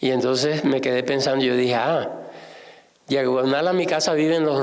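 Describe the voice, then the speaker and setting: Amid noticeable background noise and audible room echo, the speech moves at a moderate pace with fairly even intonation. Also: man. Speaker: novelist and art historian. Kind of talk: public conversation at book launch. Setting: museum event with audience. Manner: halting, with fillers and self-corrections.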